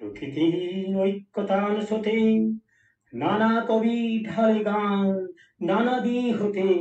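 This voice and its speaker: A high-pitched man speaks with very even loudness and fairly even intonation. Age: 70s. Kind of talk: poetry reading.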